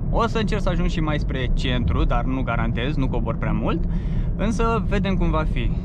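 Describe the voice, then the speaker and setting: A man's voice, dry with no echo, keeps a moderate pace against loud background noise. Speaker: driving vlogger. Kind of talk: casual vlog chat. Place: car. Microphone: phone near.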